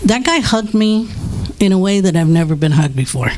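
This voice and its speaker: A woman moves at a fairly quick pace with lively intonation, noticeable background noise behind her. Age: 60s. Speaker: drug and alcohol counselor. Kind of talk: testimony. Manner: halting.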